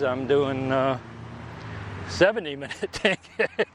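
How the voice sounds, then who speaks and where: There is noticeable background noise as a man talks. His pace is fairly slow, and his pitch varies in an ordinary way. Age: 70s. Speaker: podcaster and recreational runner. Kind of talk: casual solo monologue. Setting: outdoors walking in a park. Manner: halting, with frequent fillers and restarts; rambling conversational.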